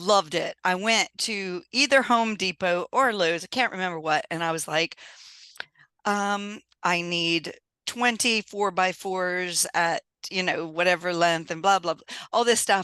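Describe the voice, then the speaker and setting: This woman's bright, sharp voice sits at a medium pitch with ordinary pitch variation, big swings in loudness, and a dry, close sound with no echo. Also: quiet background. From US South, Louisiana. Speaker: engineer and business owner. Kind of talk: podcast interview. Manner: animated.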